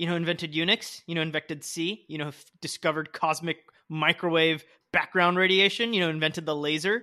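Bright, sharp tone at a fairly quick pace, with fairly even intonation. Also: man, high pitch for a man, quiet background. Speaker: podcast host. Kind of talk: casual chat.

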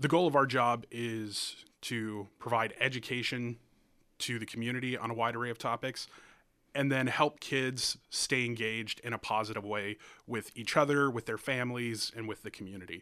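A man's medium-pitched, bright, sharp voice with fairly even intonation on a very clean recording over a silent background. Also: moderate pace. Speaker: youth prevention program coordinator. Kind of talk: radio interview. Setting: radio studio. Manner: talkative.

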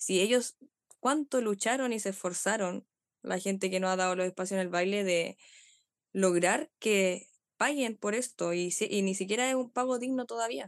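A woman speaks at a medium pitch with ordinary pitch variation and a Chilean accent. The sound is dry and close with no echo, over a quiet background. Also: moderate pace. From Chile, Pichilemo. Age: 20s. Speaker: dancer. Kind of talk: interview.

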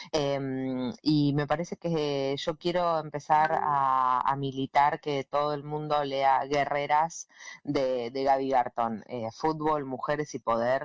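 At a very slow pace, a woman speaks with hardly any pauses and a very deep, low pitch. Her intonation is fairly even. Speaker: radio announcer and journalist. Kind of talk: casual interview.

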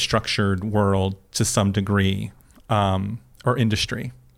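Recorded very cleanly against a silent background, a man with an American accent and a fairly low pitch speaks at a fairly slow pace in an unremarkable speaking voice. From Florida. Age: 40s. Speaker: podcast guest, professional talker. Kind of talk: casual interview.

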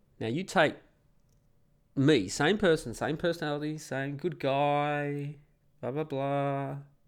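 A man with an Australian accent, fairly high pitch and ordinary pitch variation, very slow pace with long, frequent pauses, on a very clean recording with a silent background. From Perth, Australia. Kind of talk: casual monologue, opinionated rant. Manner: informal, sweary, rambling.

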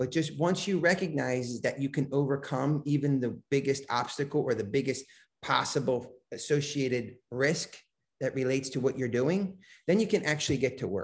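Over a quiet background, a man with a somewhat breathy, fairly high voice speaks at a moderate pace with ordinary pitch variation. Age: 50s. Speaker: business coach and mentor. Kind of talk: podcast interview.

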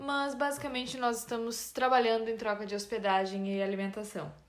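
At a moderate pace, a woman speaks with ordinary pitch variation. The room echo is audible. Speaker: podcast co-host. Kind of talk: casual chat.

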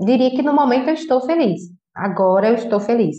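Her intonation is lively and her pace moderate. This woman's voice sounds somewhat breathy. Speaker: podcast host. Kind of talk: casual monologue. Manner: informal, conversational.

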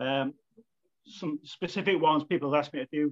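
A man with a Manchester accent talks very fast at a fairly high pitch, with a dry, close sound and no echo. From Manchester, England. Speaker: football club volunteer, flag maker. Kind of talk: casual chat.

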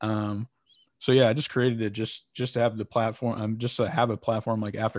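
Very fast and monotone, a man with an American accent talks at medium pitch with flat intonation, the sound dry and close with no echo over a quiet background. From Connecticut, US. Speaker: sports marketing founder and podcast host. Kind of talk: interview. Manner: casual, many filler words.

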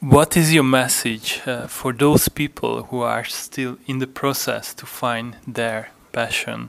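A man at medium pitch with fairly even intonation, a very slow pace, hardly any pauses and big swings in loudness. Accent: Hungarian. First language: Hungarian. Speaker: podcast host. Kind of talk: interview. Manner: halting.

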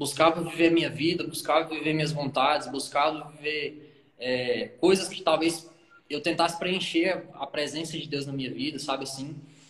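Its intonation stays fairly even throughout. The pace of an ordinary speaking voice holds moderate. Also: man, fairly high pitch for a man. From Brazil, Brasília outskirts. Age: 20s. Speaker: pastor. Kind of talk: casual chat.

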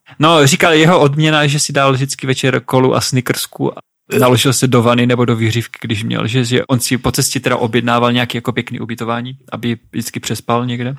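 A man with a normal speaking voice at medium pitch, fairly quick with hardly any pauses, fairly even intonation, and a dry, close sound with no echo. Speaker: podcast co-host, adventurer. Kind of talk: casual chat.

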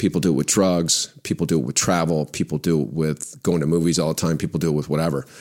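This man's pitch is very deep and low. Vocal fry runs through his voice. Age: 60s. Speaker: former pro football player and entrepreneur. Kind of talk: interview conversation. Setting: studio.

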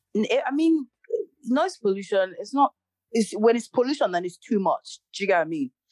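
With an animated tone and very wide pitch swings, a woman talks at a moderate pace and a fairly high pitch, the sound dry and close with no echo. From Nigeria (Igbo). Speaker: podcast co-host. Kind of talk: casual chat. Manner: animated, laughing.

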